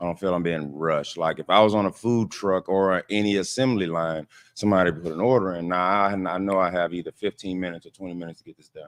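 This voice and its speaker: A man with a New Orleans accent talks very fast with hardly any pauses in a very deep, low voice, fairly even in intonation but with big swings in loudness, the sound dry and close with no echo. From New Orleans, Louisiana. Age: 30s. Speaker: caterer and restaurant owner. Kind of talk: interview. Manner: halting.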